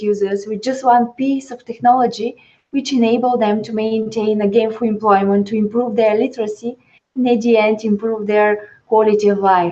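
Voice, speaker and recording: Speaking at a moderate pace, a woman with a Bulgarian accent has a dark, mellow tone and monotone, flat intonation. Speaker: social entrepreneur, tech startup CEO. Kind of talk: webinar panel discussion.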